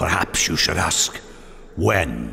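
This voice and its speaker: A raspy, put-on character voice from a man, with clear background noise. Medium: video game.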